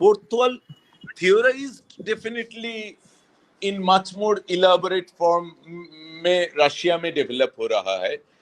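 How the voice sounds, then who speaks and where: A man with a high pitch speaks with long, frequent pauses. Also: ordinary pitch variation. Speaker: theatre lecturer. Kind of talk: online lecture. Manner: halting with many fillers.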